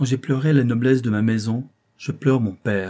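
The clip features an unforced reading voice. The background is quiet.

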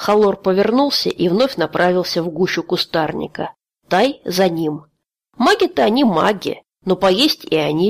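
The intonation here is lively in a natural reading voice. Nothing stirs in the background.

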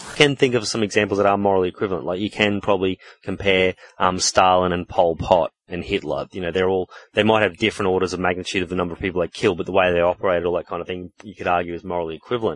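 At a very fast pace, a man with an Australian accent speaks in a very deep, low pitch with fairly even intonation, the sound dry and close with no echo. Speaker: podcast host. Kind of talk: casual chat.

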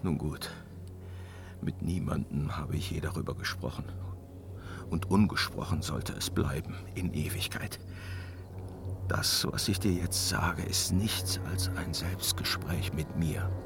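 Over clear background noise, a man uses a put-on character voice, extremely low in pitch with vocal fry. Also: ordinary pitch variation, fairly slow pace.

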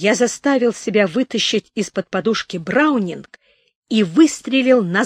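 Quiet background, a natural reading voice, and ordinary pitch variation

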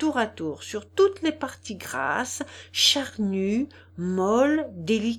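This is plain reading aloud. The intonation moves in a lively way.

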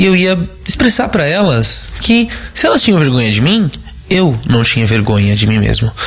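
A man at a moderate pace with very wide pitch swings over noticeable background noise. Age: 30s. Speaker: listener sending audio testimony. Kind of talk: recorded testimony.

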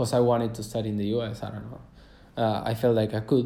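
A man with a Spanish accent speaks in a dark, mellow tone. There is audible room echo. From Argentina, Cordoba. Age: 20s. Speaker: travel podcaster. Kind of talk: casual monologue. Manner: halting, many fillers.

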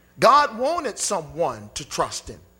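A man's raised, projected voice with an animated tone and very wide pitch swings, at a fairly slow pace over music in the background. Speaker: preacher. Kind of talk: sermon. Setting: church with congregation. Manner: animated, call-and-response preaching with crowd prompts like "say amen"; emphatic, rhetorical questions, repeated "Hello?" for emphasis.

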